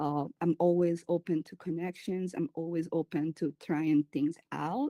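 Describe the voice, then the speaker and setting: Dark and mellow in tone, a woman with a Spanish accent speaks in a monotone, flat intonation, the sound dry and close with no echo on a very clean recording with a silent background. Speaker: community curator and event planner. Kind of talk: panel interview. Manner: halting, many fillers.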